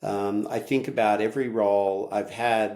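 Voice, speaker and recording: A man with an American accent speaks at a fairly low pitch in a monotone, flat delivery with a dark, mellow tone. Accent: Australian with slight US twang. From Australia. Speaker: tech company CEO. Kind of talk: podcast interview. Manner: hesitant, many fillers.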